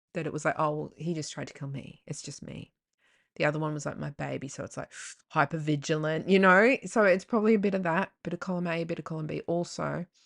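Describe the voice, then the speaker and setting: An animated voice with an Australian accent rushes along at a very fast pace, showing vocal fry and big swings in loudness, recorded dry and close with no echo over a quiet background. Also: woman, very deep, low pitch for a woman, ordinary pitch variation. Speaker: podcast host. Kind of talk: casual monologue.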